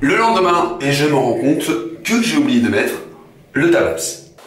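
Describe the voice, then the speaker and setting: With noticeable background noise behind him, a man speaks at a moderate pace in a high pitch. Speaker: vlogger. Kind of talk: vlog to camera. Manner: casual, animated.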